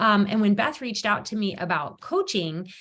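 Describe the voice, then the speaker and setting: Here is a woman with a plain, everyday voice at a medium pitch and ordinary pitch variation. She talks at a fairly quick pace on a very clean recording with a silent background. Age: 40s. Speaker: yoga studio owner and health coach. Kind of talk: testimony. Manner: casual, many filler words.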